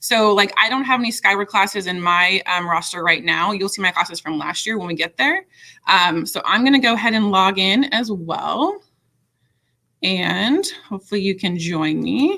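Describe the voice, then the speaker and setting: A woman speaks with a bright, sharp tone at a medium pitch. Her intonation is lively. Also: quiet background. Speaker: middle school teacher leading staff training. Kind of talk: software tutorial for colleagues. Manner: fast; casual with frequent fillers. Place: home room. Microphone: webcam.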